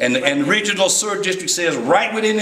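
Light background noise and audible room echo come with a man's voice. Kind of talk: public meeting remarks. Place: meeting room.

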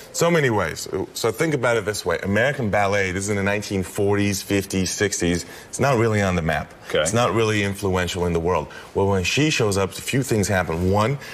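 A man talks at a fairly low pitch. His pace is fairly quick and his pitch varies in an ordinary way. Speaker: guest. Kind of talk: interview answer. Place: studio. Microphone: lapel.

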